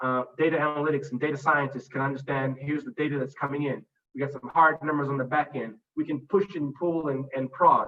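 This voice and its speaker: At a very fast pace, a man speaks with fairly even intonation and a fairly high pitch. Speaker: conference speaker on customer experience. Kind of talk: master class presentation.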